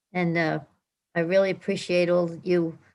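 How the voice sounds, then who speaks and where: Speaking at a moderate pace with a New Jersey accent, a woman keeps a fairly low pitch and monotone, flat intonation. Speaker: retreat participant. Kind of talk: casual chat.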